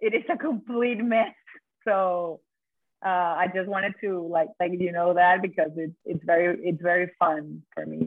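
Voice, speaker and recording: Speaking at a moderate pace in a Venezuelan accent, a woman holds fairly even intonation at a fairly low pitch. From Venezuela, Caracas. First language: Spanish. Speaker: chocolatier. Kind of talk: interview. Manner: halting.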